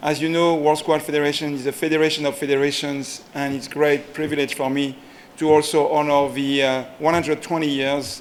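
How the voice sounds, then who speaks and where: A man's fairly high voice in a French accent, monotone and flat in intonation, at a moderate pace, with noticeable background noise. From France. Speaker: sports federation executive. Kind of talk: ceremony speech.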